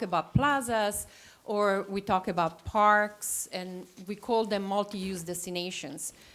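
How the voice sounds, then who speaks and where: A woman speaks with an Italian accent at a medium pitch and ordinary pitch variation. The recording is very clean, with a silent background. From Italy. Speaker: landscape architect. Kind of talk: presentation. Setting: town council meeting. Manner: halting, many fillers.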